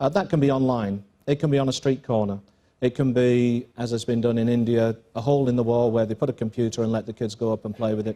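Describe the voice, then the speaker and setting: A man with an English accent talks at a very fast pace and medium pitch. His tone is dark and mellow, and his intonation fairly even. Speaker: school principal. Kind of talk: panel interview. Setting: stage with audience. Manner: halting.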